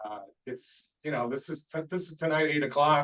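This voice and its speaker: A man's normal speaking voice at a fairly high pitch and a moderate pace. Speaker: weather briefer. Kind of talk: presentation.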